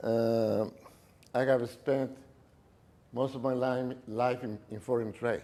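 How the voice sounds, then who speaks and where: Very slowly, a man with a Mexican accent speaks in a dark, mellow tone at a medium pitch, keeping his intonation fairly even. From Mexico City. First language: Spanish. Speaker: businessman. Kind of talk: talk to an audience. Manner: halting.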